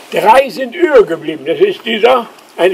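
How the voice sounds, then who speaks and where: A man's voice with ordinary pitch variation, over noticeable background noise. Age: 80s+. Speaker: eyewitness and island chronicler. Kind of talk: guided tour explanation.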